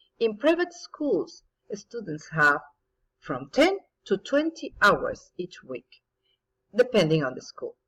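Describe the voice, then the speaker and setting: The speech moves at a very slow pace with long, frequent pauses, very wide pitch swings and big swings in loudness, in a dry, close sound with no echo. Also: woman, high pitch for a woman. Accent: Spanish. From Mexico. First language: Spanish. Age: 50s. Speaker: English teacher. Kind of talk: recorded presentation.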